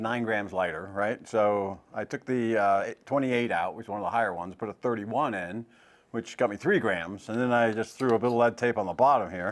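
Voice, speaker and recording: A man's medium-pitched voice at a very fast pace with hardly any pauses. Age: 60s. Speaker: golf club fitter. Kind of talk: casual chat.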